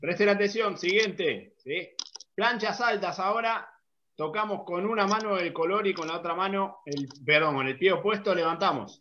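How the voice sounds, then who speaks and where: A man with a high pitch speaks in a raised, projected voice, his tone bright, sharp and energetic, over light background noise. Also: ordinary pitch variation, moderate pace. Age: 30s. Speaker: fitness coach. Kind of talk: online workout class. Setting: video call. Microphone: video call.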